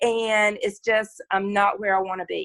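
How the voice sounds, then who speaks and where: Recorded very cleanly over a silent background, with dry, close sound and no echo, a woman with a Southern US accent talks at a fairly slow pace. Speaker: challenge participant. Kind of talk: casual chat.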